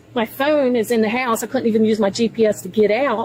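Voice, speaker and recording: The tone is animated, at a fairly quick pace. Noticeable background noise runs underneath. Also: woman. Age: 60s. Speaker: driver stopped by police. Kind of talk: confrontation with police.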